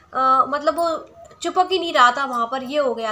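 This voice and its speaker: A woman's raised, projected, high voice at a moderate pace, amid noticeable background noise. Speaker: vlogger. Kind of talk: casual vlog chat.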